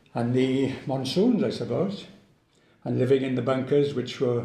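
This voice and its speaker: With a Welsh accent and audible room echo, a man speaks at a moderate pace in a dark, mellow, medium-pitched voice with vocal fry and ordinary pitch variation. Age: 80s+. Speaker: war veteran. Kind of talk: testimony. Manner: halting.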